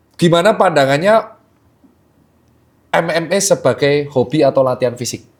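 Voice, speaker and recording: A man speaks with very wide pitch swings. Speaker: podcast host. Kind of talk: casual podcast interview questions.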